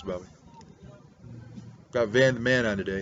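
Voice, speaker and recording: A man with an American accent at medium pitch, fairly quick pace and fairly even intonation, over noticeable background noise. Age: 60s. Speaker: pastor and pipe-smoking video blogger. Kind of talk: rant. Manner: grumpy, surly.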